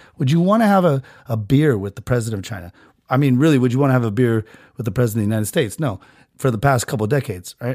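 A man talks at a very fast pace with lively intonation. His pitch sits in the medium range. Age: 30s. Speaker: podcast host. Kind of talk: casual comedic rant. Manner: animated.

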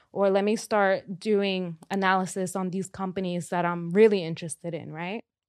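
A woman with a Spanish accent speaks at medium pitch and a moderate pace, with hardly any pauses. Her intonation is monotone and flat, and the background is quiet. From Dominican Republic. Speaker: personal finance expert. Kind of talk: casual interview chat. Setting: studio.

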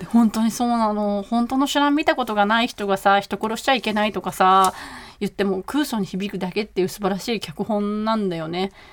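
A woman with a normal speaking voice, ordinary pitch variation and a fairly quick pace. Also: medium pitch for a woman. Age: 40s. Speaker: podcast co-host. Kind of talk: casual chat.

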